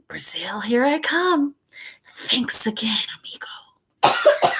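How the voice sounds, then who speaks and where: A put-on character voice, high-pitched and hissing, at a very slow pace with very wide pitch swings. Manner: casual, thankful.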